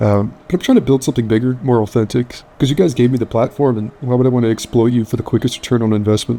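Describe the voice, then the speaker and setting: The speech moves at a very fast pace with ordinary pitch variation. Music plays in the background. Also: man. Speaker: gaming youtuber. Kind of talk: casual commentary monologue.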